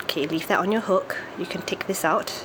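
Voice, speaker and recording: Over noticeable background noise, a woman speaks at a moderate pace and medium pitch, with ordinary pitch variation. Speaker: craft tutorial maker. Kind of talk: tutorial.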